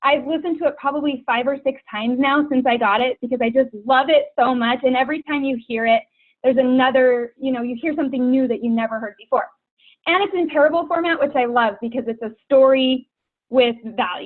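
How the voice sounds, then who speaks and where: Speaking at a fairly quick pace, a woman has an animated tone and a high pitch. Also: ordinary pitch variation. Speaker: guest speaker for a direct sales team. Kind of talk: team call presentation. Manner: fast. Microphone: broken computer mic.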